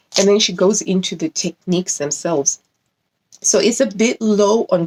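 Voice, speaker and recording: A woman's medium-pitched voice with ordinary pitch variation at a moderate pace, in a dry, close sound with no echo. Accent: non-native. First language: not English. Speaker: sewing YouTuber. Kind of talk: casual video review. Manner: animated; halting.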